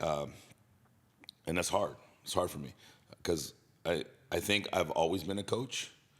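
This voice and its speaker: A man with a very deep, low pitch and vocal fry speaks in an animated tone. His pace is fairly slow, and his pitch varies in an ordinary way. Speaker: fitness coach. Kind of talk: podcast interview. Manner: casual, animated.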